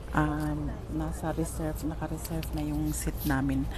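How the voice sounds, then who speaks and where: A quiet woman's voice with audible room echo and noticeable background noise. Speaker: travel vlogger. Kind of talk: live-stream travel vlog. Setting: on a train.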